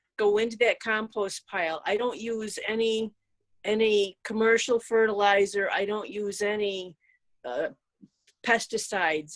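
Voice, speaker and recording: A woman's normal speaking voice, a normal speaking voice fairly high in pitch, fairly slow, with fairly even intonation. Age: 60s. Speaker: rune practitioner and guest. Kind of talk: casual spiritual conversation.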